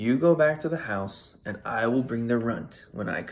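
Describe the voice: Just plain reading aloud.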